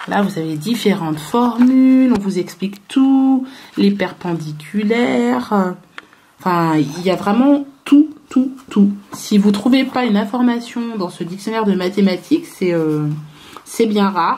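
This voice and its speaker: A woman's very slow delivery with very wide pitch swings. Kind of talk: casual vlog chat. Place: home room. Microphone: phone near.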